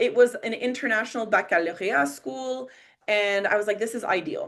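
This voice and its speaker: A woman's fairly high voice with a Quebec accent, at a moderate pace. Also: lively intonation. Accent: Quebecois accent in French. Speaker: teacher and emotional intelligence coach. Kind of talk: online Q&A talk. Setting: video call. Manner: casual, animated storytelling.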